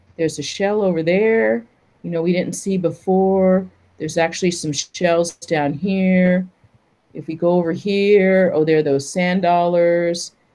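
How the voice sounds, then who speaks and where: A woman with an American accent, fairly low in pitch, dark and mellow in tone, at a fairly slow pace. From US West Coast, San Francisco; California. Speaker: paleontologist; presenter. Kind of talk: lecture. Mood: warm, enthusiastic. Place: home room. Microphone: webcam.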